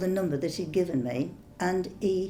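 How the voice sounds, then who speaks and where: A woman speaks at a fairly slow pace with a medium pitch and lively intonation over music in the background. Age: 70s. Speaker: scam call target. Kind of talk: interview answer.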